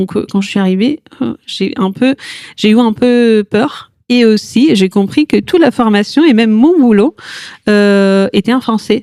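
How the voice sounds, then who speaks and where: A woman with an Italian accent speaks at a fairly slow pace, her fairly high pitch carrying a dark, mellow tone and ordinary pitch variation. The sound is dry and close, with no echo. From Italy. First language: Italian (speaking French). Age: 40s. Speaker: yoga teacher, cancer survivor. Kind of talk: podcast interview testimony. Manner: hesitant, many fillers.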